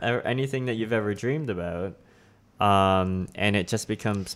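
In a very clean recording with a silent background, a man with a Canadian accent uses a normal speaking voice at a fairly low pitch, ordinary pitch variation and a fairly slow pace. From Toronto, Canada. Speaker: guest with own podcast.

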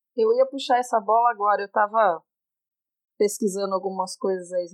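In a Minas Gerais accent, a woman of medium pitch talks at a moderate pace with ordinary pitch variation, the sound dry and close with no echo in a very clean recording against a silent background. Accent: mineiro. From Brazil, Minas Gerais. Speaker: teacher. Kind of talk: casual chat.

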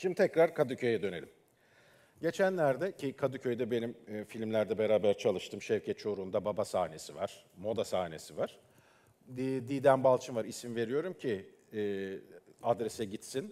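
A man speaks in a dark, mellow tone at a moderate pace. His pitch swings very widely. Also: medium pitch for a man. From Istanbul, Turkey. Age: 40s. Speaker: filmmaker. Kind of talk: talk. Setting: stage with audience.

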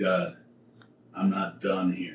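A man with an American accent speaks with ordinary pitch variation over noticeable background noise. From Michigan, Detroit area. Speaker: church bassist. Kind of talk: casual chat; testimony.

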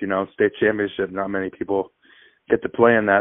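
A fairly low male voice with monotone, flat intonation. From Maine, South Portland. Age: young. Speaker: college basketball player. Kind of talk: interview.

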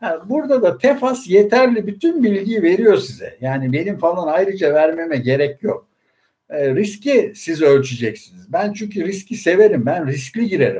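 Here a man's high, dark and mellow voice moves through very wide pitch swings at a moderate pace. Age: 60s. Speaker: investment fund commentator. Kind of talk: casual finance livestream talk. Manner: hesitant fillers, frequent e, ee.

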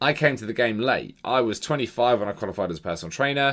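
Heard in a very clean recording with a silent background, a man has an unremarkable speaking voice at medium pitch with lively intonation. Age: 30s. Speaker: fitness coach and podcast host. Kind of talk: solo monologue podcast. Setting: home bedroom.

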